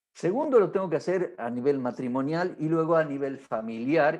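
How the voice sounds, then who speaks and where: A man talks at a fairly slow pace in an ordinary speaking voice. His pitch varies in an ordinary way. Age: 60s. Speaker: pastor. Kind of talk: marriage workshop teaching.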